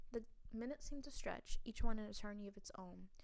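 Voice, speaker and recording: A woman talks at a fairly quick pace with an American accent and ordinary pitch variation. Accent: shifts toward New York when reading. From US South. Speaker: gamer playing interactive fiction. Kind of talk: reading aloud with casual commentary. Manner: halting, with stumbles while reading.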